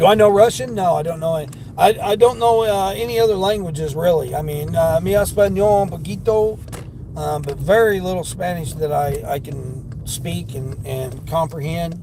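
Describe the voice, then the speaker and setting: A speaker with a Southern accent talks at a moderate pace with lively intonation. Background noise is noticeable, and room echo is audible. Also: man, fairly high pitch for a man. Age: 50s. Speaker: delivery driver and livestreamer. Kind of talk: casual livestream chat.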